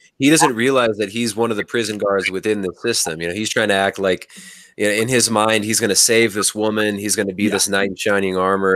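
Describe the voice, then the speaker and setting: A man's fairly low voice with fairly even intonation and a dry sound with no echo. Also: quiet background. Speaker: podcaster and guest. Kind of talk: casual livestream film discussion. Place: home room. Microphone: studio mic.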